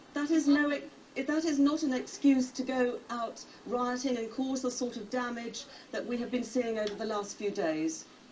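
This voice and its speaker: A woman with a high pitch talks at a moderate pace, her pitch varying in an ordinary way. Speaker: news presenter. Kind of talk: TV news interview. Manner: stern.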